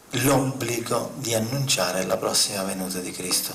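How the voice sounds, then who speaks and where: A man speaks with lively intonation against noticeable background noise and audible room echo. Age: old. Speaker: spiritual speaker on UFOs. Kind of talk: conference talk. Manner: impassioned.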